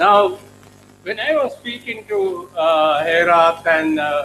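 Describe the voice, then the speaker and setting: A man's voice with ordinary pitch variation. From Sri Lanka. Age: 80s+. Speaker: professor. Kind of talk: keynote speech. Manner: halting.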